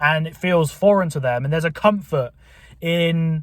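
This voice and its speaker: Moderate pacing from a man with a fairly high-pitched voice. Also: very clean recording, silent background. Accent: southern English. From southern England. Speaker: YouTuber. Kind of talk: casual monologue.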